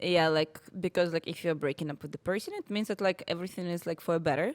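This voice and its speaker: A woman with a Russian accent talks at a very fast pace in a fairly low voice. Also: ordinary pitch variation, dry, close sound with no echo. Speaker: podcast co-host. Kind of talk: casual chat. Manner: halting, searching for English words.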